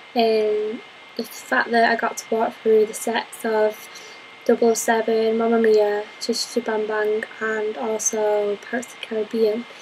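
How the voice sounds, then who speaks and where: The voice is monotone, with flat intonation, at a moderate pace. Noticeable background noise runs underneath. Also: woman, fairly high pitch for a woman, big swings in loudness. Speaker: university course applicant. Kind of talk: application interview to camera.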